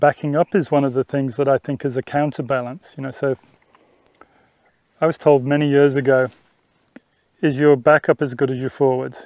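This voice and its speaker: A man in an Australian accent, fairly high-pitched, with monotone, flat intonation at a moderate pace and long, frequent pauses. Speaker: horse trainer. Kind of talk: instructional talk during riding lesson. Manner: casual, conversational.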